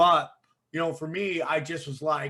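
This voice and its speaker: The man's fairly high voice has a bright, sharp tone and fairly even intonation as he speaks at a fairly slow pace. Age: 40s. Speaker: comedian and podcast host. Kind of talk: casual chat. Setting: video call.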